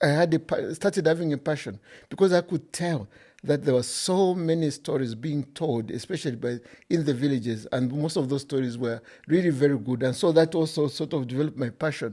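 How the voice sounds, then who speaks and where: A fairly quick voice with a Zambian accent, dark, mellow tone and ordinary pitch variation over a quiet background. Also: man. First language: Bemba. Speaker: author. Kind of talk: interview.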